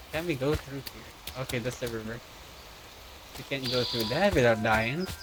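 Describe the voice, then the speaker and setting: A soft-spoken man at medium pitch and a moderate pace, with ordinary pitch variation and noticeable background noise. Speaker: gaming streamer. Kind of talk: let's play commentary. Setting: home at night.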